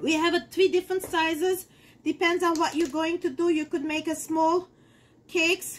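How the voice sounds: A woman at an extremely high pitch, fairly slow, with fairly even intonation and a fairly bright tone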